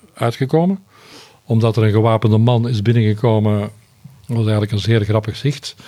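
Dark, mellow tone from a man at medium pitch. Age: 60s. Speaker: retired foreign correspondent, journalist. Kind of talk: interview.

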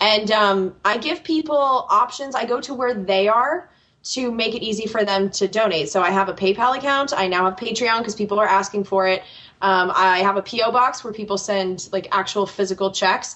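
A woman speaks with an American accent in a plain, everyday voice. Her pitch is medium with ordinary pitch variation. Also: moderate pace. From United States. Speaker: political podcast host. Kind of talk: interview.

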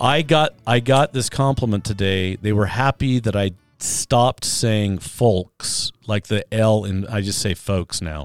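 In a dry, close sound with no echo, a man with an American accent has an unremarkable speaking voice, a fairly low pitch and ordinary pitch variation, talking at a fairly slow pace with hardly any pauses. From northern Utah, US. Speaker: podcast host. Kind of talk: casual chat.

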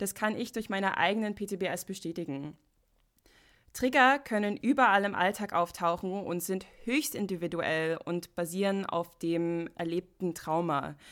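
A woman of medium pitch with an unremarkable speaking voice, ordinary pitch variation, a fairly slow pace, and a very clean recording with a silent background. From United States. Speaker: podcast host. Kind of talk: solo podcast monologue.

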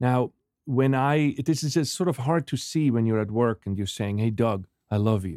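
Recorded very cleanly against a silent background, a man speaks at a moderate pace in a dark, mellow tone with medium pitch, ordinary pitch variation, and a dry, close sound with no echo. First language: not English (Swiss). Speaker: business professor and author. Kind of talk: interview conversation.

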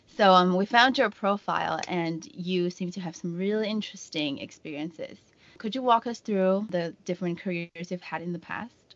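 A woman talks at a moderate pace and medium pitch, with ordinary pitch variation. Her loudness swings widely. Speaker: podcast host. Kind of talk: interview. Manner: excited.

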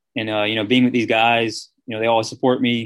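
Monotone and flat, a man's medium-pitched voice comes with an American accent. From Columbus, Georgia, US South. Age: 20s. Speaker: college football player. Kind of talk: interview. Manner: hesitant, many fillers.

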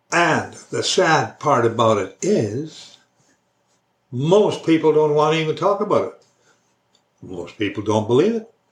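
A man with a Canadian accent, fairly high-pitched and fry-edged, at a fairly slow pace with long, frequent pauses and very wide pitch swings. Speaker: religious video blogger. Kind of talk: casual monologue on faith. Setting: recorded alone for online video.

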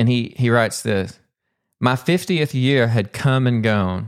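Someone speaks fairly slowly in a Southern US accent, with ordinary pitch variation. The recording is very clean, the background silent. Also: man. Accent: Southern US, still present. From Arkansas (Pumpkin Bend). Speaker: poet and English professor, podcast host. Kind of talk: solo podcast monologue.

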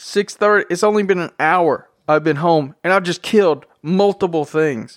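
A man talks at a high pitch. The recording is very clean, with a silent background. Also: ordinary pitch variation. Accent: American. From Tennessee. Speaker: podcast host. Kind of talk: casual solo podcast monologue. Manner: casual, unscripted and rambling.

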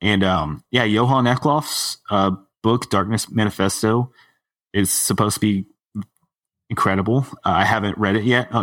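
In an unremarkable speaking voice with an American accent, the speaker keeps a fairly even intonation at a moderate pace, on a very clean recording with a silent background and a dry, close sound with no echo. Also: man. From Texas. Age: 30s. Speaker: dark sky nonprofit staffer. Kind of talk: casual panel discussion.

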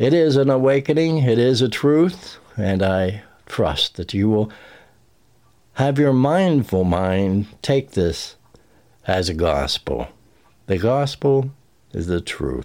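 A man's very slow, dark and mellow delivery at a medium pitch, with very wide pitch swings, long, frequent pauses and a very clean recording over a silent background. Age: 70s. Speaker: podcast host and narrator of channeled messages. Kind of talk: personal spiritual reflection.

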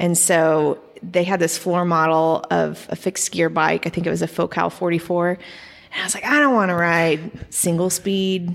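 A woman's normal speaking voice with an American accent, fairly low in pitch, fairly even in intonation, at a moderate pace. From Oklahoma, Edmond. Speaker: artist and cyclist. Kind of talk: casual interview chat.

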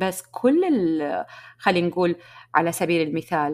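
A woman of medium pitch at a moderate pace on a very clean recording with a silent background. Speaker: podcast host and business coach. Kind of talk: solo podcast monologue.

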